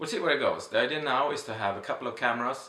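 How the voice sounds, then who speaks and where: With audible room echo and noticeable background noise, a man speaks at a very fast pace. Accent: Swedish. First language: Swedish. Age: 30s. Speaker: vlogger. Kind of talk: casual vlog monologue. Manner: halting, many fillers.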